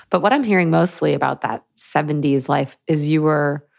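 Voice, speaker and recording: The speaker has a Midwestern American accent. The pace is moderate. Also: woman. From US Midwest, Michigan. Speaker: psychic medium. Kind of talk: casual chat. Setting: video call.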